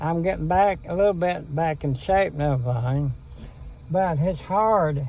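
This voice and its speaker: A man speaks with an Appalachian accent. His pitch is fairly high, and his pace fairly slow. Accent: Appalachian Kentucky. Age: 80s+. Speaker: interviewee. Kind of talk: casual chat. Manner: halting.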